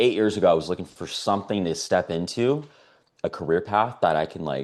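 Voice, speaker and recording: A man's fairly low pitch with an American accent, lively intonation and a fairly quick pace. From US West Coast, San Diego, California. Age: 30s. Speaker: network marketing salesperson. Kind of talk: testimony. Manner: casual, filler-heavy.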